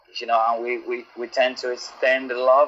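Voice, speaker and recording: A man's voice is heard along with noticeable background noise. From Nigeria. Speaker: caller. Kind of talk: call-in testimony. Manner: halting.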